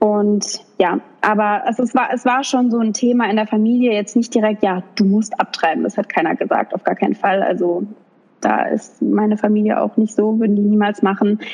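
A woman has an ordinary speaking voice, fairly high in pitch, moving at a moderate pace with fairly even intonation and very even loudness. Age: 20s. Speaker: influencer and young mother. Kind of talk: interview.

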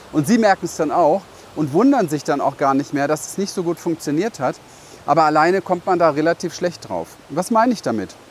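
Speaking at a fairly quick pace, a man uses lively intonation and a high pitch. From Berlin, Germany. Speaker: business coach. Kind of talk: vlog monologue. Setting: outdoors, walking through a city.

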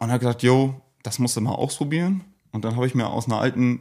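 A man talks at a very fast pace with medium pitch, ordinary pitch variation and a dark, mellow tone. The recording is very clean, with a silent background. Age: 20s. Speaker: craft beer brewer and brand founder. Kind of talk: casual chat.

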